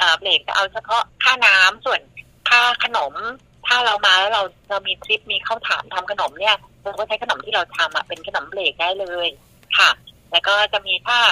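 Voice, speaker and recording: The sound is dry and close with no echo as a woman with an ordinary speaking voice talks at a medium pitch with ordinary pitch variation. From southern Thailand, Songkhla. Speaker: mother running a sufficiency-economy farm and food stall. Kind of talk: casual interview.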